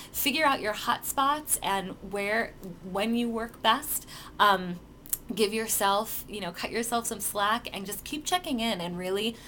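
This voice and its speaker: With ordinary pitch variation, a woman speaks fairly slowly at a fairly high pitch in a bright, sharp tone. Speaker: life coach vlogger. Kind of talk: casual video blog. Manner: hesitant, many fillers.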